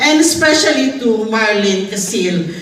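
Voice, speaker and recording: Noticeable background noise and audible room echo surround speech delivered at a fairly slow pace. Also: woman. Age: 60s. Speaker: physician. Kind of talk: testimony. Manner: halting.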